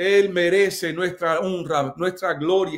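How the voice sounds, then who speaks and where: Against a quiet background, a man speaks very slowly in a high-pitched, passionate voice. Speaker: pastor leading online church service. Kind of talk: fervent prayer, worship exclamations, rising intensity; casual greeting chat with viewers. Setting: live stream on Instagram and Facebook. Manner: passionate, repetitive, emphatic; animated, warm, code-switching English and Spanish. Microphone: phone near.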